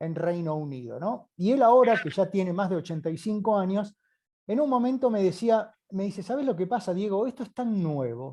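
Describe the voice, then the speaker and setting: Over a quiet background, a man with a high pitch and a dark, mellow tone talks at a moderate pace with lively intonation. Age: 50s. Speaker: doctor, geriatrics specialist. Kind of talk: live online interview. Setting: live video call with headset.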